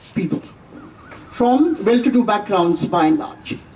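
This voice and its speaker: Against noticeable background noise, a woman speaks at a high pitch with very wide pitch swings. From India. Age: 70s. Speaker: professor. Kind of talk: lecture.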